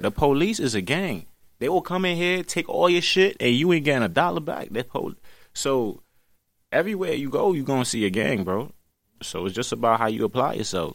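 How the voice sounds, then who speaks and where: A man with a Brooklyn accent, fairly high-pitched with vocal fry, very wide pitch swings and a fairly quick pace. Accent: New York (Brooklyn). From Brooklyn, New York City. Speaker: drill rapper. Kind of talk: casual interview. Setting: studio, in person.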